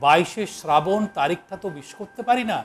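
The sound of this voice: Intonation rises and falls with energy in this unforced reading voice.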